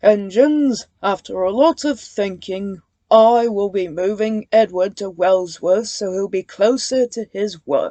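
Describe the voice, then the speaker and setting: In a put-on character voice at medium pitch, a woman speaks at a fairly slow pace with ordinary pitch variation and hardly any pauses, in a dry, close sound with no echo. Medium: read story. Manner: formal, authoritative.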